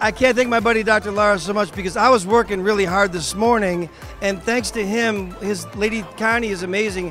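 A man talks at a fairly quick pace and a high pitch, with fairly even intonation. Faint music plays in the background. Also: dry sound with no echo. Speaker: interviewee. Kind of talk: interview answer. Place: hall. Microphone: handheld.

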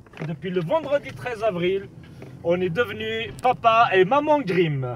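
Very slowly, a man speaks with very wide pitch swings in a dry sound with no echo, light background noise underneath. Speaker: film vlogger. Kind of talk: casual vlog chat. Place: car. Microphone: phone near.

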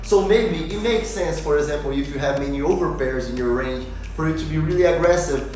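The man's voice carries audible room echo over light background noise. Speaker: channel host. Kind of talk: tutorial. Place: home room.

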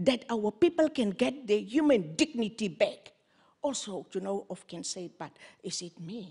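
Somewhat breathy, a woman speaks at a fairly slow pace with a fairly high pitch and very wide pitch swings against a quiet background. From Namibia. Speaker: activist and politician; politician. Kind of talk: panel discussion. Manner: impassioned. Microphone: handheld.

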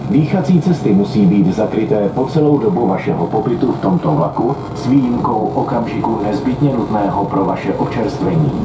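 The talk moves at a fairly quick pace with hardly any pauses, over noticeable background noise. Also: man. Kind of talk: public announcement. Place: train.

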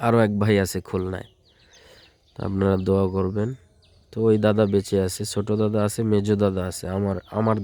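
A man speaks at a fairly low pitch with a dark, mellow tone. His intonation is monotone and flat. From Bangladesh, Bagerhat (Morrelganj). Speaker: vlogger and Islamic preacher. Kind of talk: vlog walking tour. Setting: outdoors.

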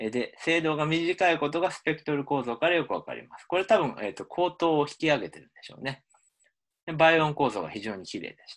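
The speaker has an ordinary speaking voice with ordinary pitch variation and big swings in loudness. The pace is fairly quick, and the background is quiet. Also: man, fairly high pitch for a man. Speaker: linguistics professor. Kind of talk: lecture.

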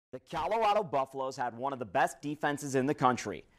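A man speaks with fairly high pitch and lively intonation at a fairly quick pace. The background is quiet. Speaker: sports reporter and anchor. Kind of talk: sports opinion commentary. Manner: sardonic, punchy. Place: studio. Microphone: lapel.

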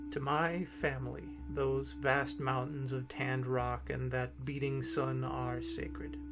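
A man speaks with music playing in the background. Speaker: story narrator. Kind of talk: dramatic story reading.

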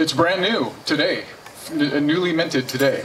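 A man speaks in an animated, playful tone. Light background noise sits behind him. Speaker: poet performing at a party. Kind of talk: poetry performance, read aloud with playful delivery. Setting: party with audience, microphone sound check. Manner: animated, playful, comic. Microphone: camera far.

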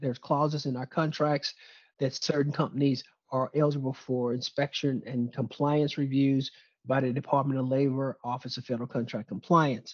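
The background is quiet. A man speaks at a fairly high pitch with monotone, flat intonation. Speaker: presenter on US government contracting; presenter. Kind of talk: webinar presentation. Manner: fast. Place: office. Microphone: webcam.

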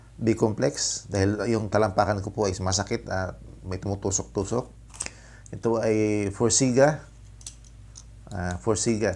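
A man speaks at a fairly slow pace and fairly low pitch, with ordinary pitch variation and long, frequent pauses. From Philippines. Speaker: vlogger; diabetic vlogger. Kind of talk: product review vlog. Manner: halting, many fillers. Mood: friendly, smiling. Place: home room. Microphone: lapel.

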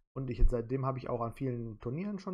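This man's pitch is fairly high. He talks at a very fast pace. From Germany, Solingen (North Rhine-Westphalia). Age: 30s. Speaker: quiz show applicant. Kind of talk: self-presentation video.

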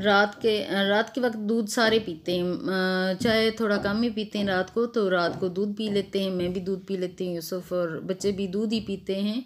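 At a fairly slow pace with hardly any pauses, a woman speaks at a medium pitch with fairly even intonation over light background noise. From Pakistan. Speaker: vlogger. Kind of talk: casual vlog talk. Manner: sounds like angry tone, but isn't. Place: kitchen. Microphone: phone near.

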